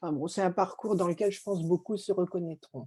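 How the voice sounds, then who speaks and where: This woman's voice is fairly low in pitch. Its tone is dark and mellow. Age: 60s. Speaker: interviewee sharing giftedness experience. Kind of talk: testimony.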